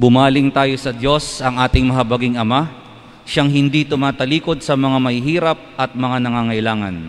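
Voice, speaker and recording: Male speech at a moderate speed, its pitch varying in an ordinary way. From Philippines. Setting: church, live-streamed Mass. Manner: formal, solemn, measured. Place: church. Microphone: podium.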